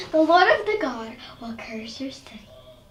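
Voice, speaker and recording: A put-on character voice, female-sounding and high-pitched, with very wide pitch swings and a slight echo. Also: moderate pace. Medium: stage play. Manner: loud, hammy.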